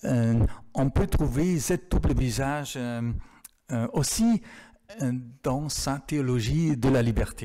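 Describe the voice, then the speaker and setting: Very slow speech in a German accent, with ordinary pitch variation and long, frequent pauses. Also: man, medium pitch for a man. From Germany. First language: German (speaking French). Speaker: theology professor. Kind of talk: Q&A after lecture. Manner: halting, many hesitations.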